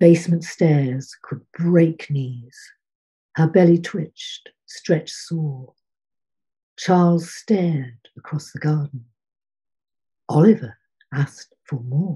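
A woman speaks at a very slow pace with long, frequent pauses, her fairly low, somewhat breathy voice carrying a dark, mellow tone, ordinary pitch variation and big swings in loudness over a quiet background. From Lincolnshire, England. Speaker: poet. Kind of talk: poetry reading, measured and rhythmic delivery. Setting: online video call. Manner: formal, dry-humoured, measured. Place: home room. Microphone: webcam.

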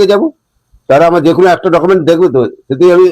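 A man's high-pitched voice. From Nandigram, West Bengal. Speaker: retired army veteran. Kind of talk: interview.

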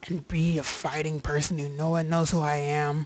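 A man puts on a character voice at a fairly high pitch. His intonation is monotone and flat, with light background noise. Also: moderate pace. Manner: mock-serious.

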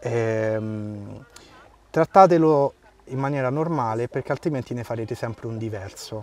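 The speech comes at a fairly slow pace with ordinary pitch variation, recorded dry and close with no echo. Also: man, medium pitch for a man. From Rome, Italy. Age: 30s. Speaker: man with a limb difference. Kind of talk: interview conversation. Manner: halting.

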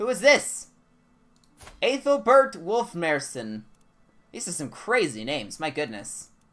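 Fairly slow speech broken by long, frequent pauses, with faint music in the background. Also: man. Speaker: gaming streamer. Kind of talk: casual livestream chat while playing a game. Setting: home streaming setup, recorded stream. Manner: casual, animated, chatty. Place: home room. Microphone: headset.

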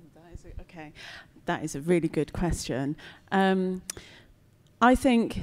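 A woman speaks with a British accent at a moderate pace. The background is quiet. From Britain. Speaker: composer and visual artist; panelist. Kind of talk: panel talk before audience; panel discussion answer. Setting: gallery event with live audience. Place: hall. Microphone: handheld.

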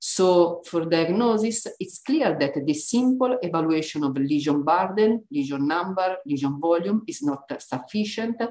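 In a quiet background, a woman speaks with an Italian accent. Her fairly low pitch makes very wide swings. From Italy. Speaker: neuroimaging researcher. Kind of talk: lecture. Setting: online webinar. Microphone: webcam.

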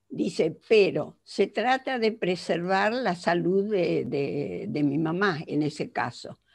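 A woman speaks at a very slow pace with hardly any pauses, her pitch swinging very widely and her voice showing vocal fry against a quiet background. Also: fairly low pitch for a woman. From Argentina. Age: 80s+. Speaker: psychologist; conference lecturer. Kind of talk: lecture. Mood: earnest, reflective. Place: home room. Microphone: headset.

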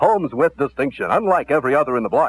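Here a man with an American accent talks at a fairly quick pace. The sound is dry, with no echo. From United States, Kansas City. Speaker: radio disc jockey. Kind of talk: radio commercial read for home sales. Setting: vintage AM radio broadcast. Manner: upbeat, fast-paced. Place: studio. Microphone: old recording.

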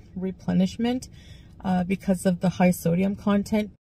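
A somewhat breathy voice with a dark, mellow tone speaks at a moderate pace in a flat monotone, recorded dry with no echo. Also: woman. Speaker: vlogger. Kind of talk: casual vlog chat. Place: car. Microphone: phone near.

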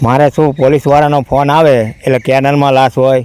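This man's medium-pitched voice comes across dry and close with no echo, his intonation monotone and flat. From Gujarat, Viramgam. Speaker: hearse driver, volunteer. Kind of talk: interview.

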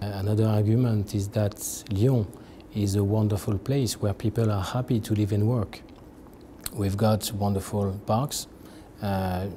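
A man with a fairly low pitch and a dark, mellow, somewhat breathy voice speaks at a moderate pace in a monotone, flat intonation, with very even loudness, long, frequent pauses and light background noise. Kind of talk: interview answer. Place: meeting room. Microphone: lapel.

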